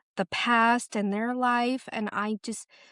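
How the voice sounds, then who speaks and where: A woman with an American accent and a normal speaking voice talks at a fairly slow pace with fairly even intonation, in a dry, close sound with no echo against a quiet background. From Ohio. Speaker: actress and YouTuber. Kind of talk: casual chat.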